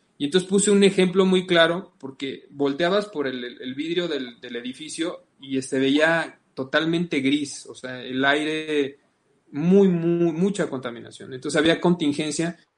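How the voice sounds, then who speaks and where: With a Mexican accent, the speaker goes at a fairly slow pace, showing ordinary pitch variation and big swings in loudness. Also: man, fairly high pitch for a man. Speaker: podcast host. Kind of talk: interview.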